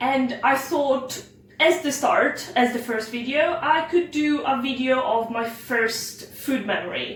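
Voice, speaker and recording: A high-pitched woman speaks very slowly with ordinary pitch variation. The room echoes audibly, and background noise is noticeable. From Italy. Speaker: home cook. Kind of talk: cooking tutorial. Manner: casual with frequent fillers.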